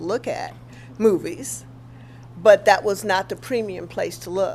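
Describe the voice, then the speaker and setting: A woman with a Southern US accent speaks at medium pitch. Her pitch swings very widely. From Mississippi, US South. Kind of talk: oral history interview answer.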